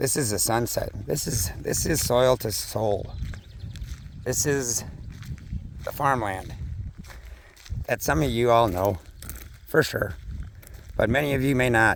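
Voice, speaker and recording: With an American accent and a medium pitch, a man talks at a fairly slow pace with lively intonation and long, frequent pauses over noticeable background noise. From US Midwest, western Minnesota. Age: 50s. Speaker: farmer and vlogger. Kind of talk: casual vlog walk-and-talk. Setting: outdoors on farm walking dog. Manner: casual, rambling with fillers.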